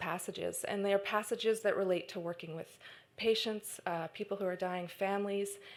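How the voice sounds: A natural reading voice delivers the lines with fairly even intonation.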